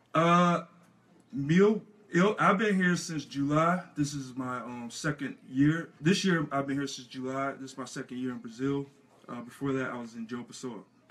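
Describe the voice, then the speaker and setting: Speaking at a fairly slow pace, a man uses a fairly high pitch and ordinary pitch variation. His loudness swings widely. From United States. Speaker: American football player; interviewee. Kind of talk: radio interview. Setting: radio studio. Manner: halting. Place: studio.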